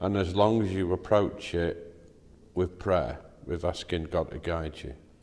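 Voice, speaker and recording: With an English accent and vocal fry, a man speaks at a fairly slow pace in a very deep, low pitch. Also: ordinary pitch variation. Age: 60s. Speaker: father in a Bible reading series. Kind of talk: casual faith discussion. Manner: halting.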